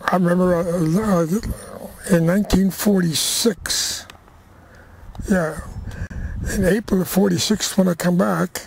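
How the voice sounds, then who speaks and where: A high-pitched male voice at a fairly slow pace, with long, frequent pauses, fairly even intonation, very even loudness and noticeable background noise. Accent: American. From Crockett, California, US. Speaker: rancher and war veteran. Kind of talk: oral history interview.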